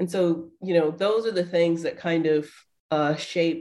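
A woman's dark, mellow tone sits at a fairly low pitch, with fairly even intonation and an American accent. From US South, Atlanta, Georgia. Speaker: professor and author. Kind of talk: interview. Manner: halting, with many fillers.

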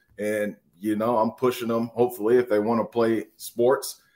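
A man with a plain, everyday voice, fairly low in pitch, at a moderate pace on a very clean recording with a silent background. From Minnesota, Wayzata. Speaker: former college football player. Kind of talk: interview.

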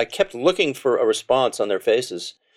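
A man's voice, dry and close with no echo, on a very clean recording with a silent background. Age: 50s. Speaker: session guitarist. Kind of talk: interview. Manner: halting.

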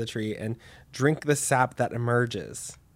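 In a very clean recording with a silent background, a man with an American accent and an ordinary speaking voice speaks at a moderate pace and medium pitch, with ordinary pitch variation. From Texas, Dallas. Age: 20s. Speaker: podcast host. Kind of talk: casual chat.

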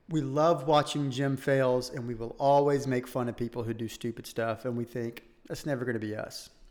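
Here is a plain, everyday voice with fairly even intonation. The pace is moderate, with hardly any pauses. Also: man, medium pitch for a man. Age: 30s. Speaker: fitness podcast co-host. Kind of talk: casual chat.

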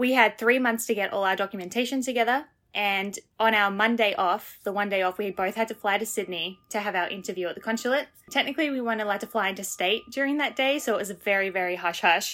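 A woman talks at a very fast pace in an Australian accent. Her pitch variation is ordinary. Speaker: Broadway performer. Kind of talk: interview. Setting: remote call.

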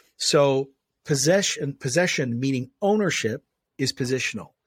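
On a very clean recording with a silent background, a man speaks with ordinary pitch variation, the sound dry and close with no echo. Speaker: pastor. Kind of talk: interview. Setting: studio. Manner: forceful.

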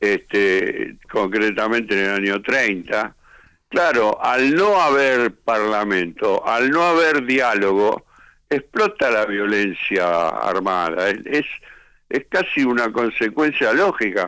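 At a very slow pace, a man speaks at a medium pitch in a bright, sharp tone, with lively intonation and very even loudness. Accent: Rioplatense. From Buenos Aires, Argentina. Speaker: rock musician. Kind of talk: interview.

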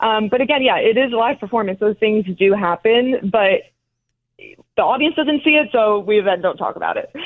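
In an American accent, this plain, everyday voice moves at a moderate pace with ordinary pitch variation. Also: woman, fairly high pitch for a woman. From New Jersey, North Caldwell. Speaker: professional dancer. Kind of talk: interview.

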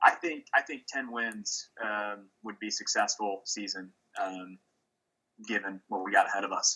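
A man at a fairly slow pace, with big swings in loudness. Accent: Midwestern American. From Kansas City, Kansas. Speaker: college football fan. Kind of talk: casual chat. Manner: halting, many fillers.

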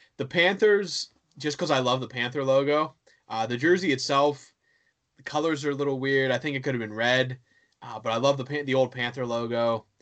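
A man speaks at a fairly quick pace with an American accent, using an ordinary speaking voice at a medium pitch with ordinary pitch variation over a quiet background. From western Pennsylvania (Johnstown). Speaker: hockey blog writer. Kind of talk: casual chat.

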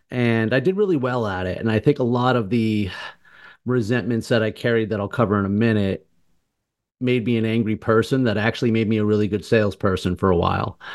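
An unremarkable speaking voice in an American accent moves at a fairly quick pace with ordinary pitch variation over a quiet background. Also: man, medium pitch for a man. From Martha's Vineyard, Massachusetts. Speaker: cancer survivor and obstacle course athlete. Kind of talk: interview.

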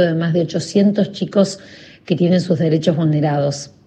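A woman with a Rioplatense accent speaks at a fairly low pitch. Her voice is somewhat breathy, with ordinary pitch variation. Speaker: journalist and charity founder. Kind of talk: recorded testimony.

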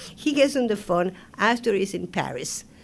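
A woman in an Argentine accent, her pitch swinging very widely. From Argentina, Buenos Aires. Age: 70s. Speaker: Broadway choreographer and director. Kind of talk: interview. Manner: animated.

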